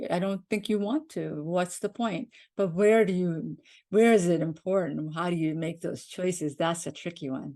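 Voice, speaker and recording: With a Pakistani accent and a dark, mellow tone, a woman speaks at a moderate pace and fairly low pitch, using ordinary pitch variation against a quiet background. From Pakistan, moved to Maine, US at age seven. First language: Urdu. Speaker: podcast co-host. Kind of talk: casual chat. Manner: halting.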